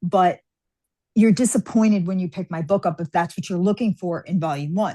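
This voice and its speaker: A woman with an American accent, medium pitch, a dark, mellow and somewhat breathy tone, a fairly quick pace and ordinary pitch variation, her dry, close sound with no echo set against a quiet background. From New York. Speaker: fantasy author. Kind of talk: interview.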